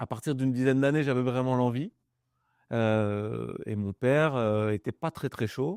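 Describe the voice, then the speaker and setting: In a very clean recording with a silent background and a dry, close sound with no echo, a man uses a plain, everyday voice at medium pitch and a moderate pace. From northern France, Pas-de-Calais near Le Touquet. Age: 30s. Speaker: business owner. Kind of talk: podcast interview. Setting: mobile studio.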